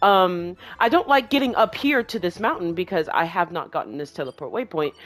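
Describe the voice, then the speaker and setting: This woman talks at a fairly quick pace in a medium pitch, with very wide pitch swings. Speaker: gaming streamer. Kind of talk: let's play commentary. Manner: stuttering; casual, chatty.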